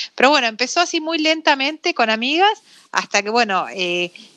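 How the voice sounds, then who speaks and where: Bright and sharp in tone, a woman speaks at a moderate pace with lively intonation. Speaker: entrepreneur. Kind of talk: interview. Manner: halting.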